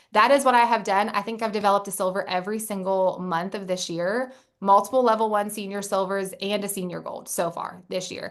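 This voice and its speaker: Fairly quick speech from a woman with an unremarkable speaking voice, medium pitch, and fairly even intonation. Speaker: network marketing team leader. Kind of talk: motivational talk.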